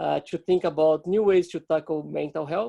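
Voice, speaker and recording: With a Portuguese accent, a man speaks in a dark, mellow tone, the sound dry and close with no echo. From Brazil. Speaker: startup co-founder. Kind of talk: webinar presentation. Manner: halting.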